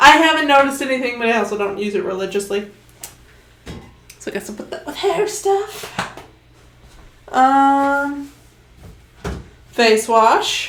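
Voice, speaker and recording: A woman with a high pitch speaks at a fairly slow pace, her pitch swinging very widely and her loudness shifting greatly, with long, frequent pauses, audible room echo and noticeable background noise. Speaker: streamer. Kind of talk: casual chat. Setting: home livestream.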